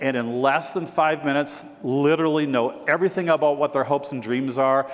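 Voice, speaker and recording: A man's fairly even, moderately paced speech comes through noticeable background noise. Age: 60s. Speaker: real estate broker and keynote speaker. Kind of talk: keynote speech. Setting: stage with audience.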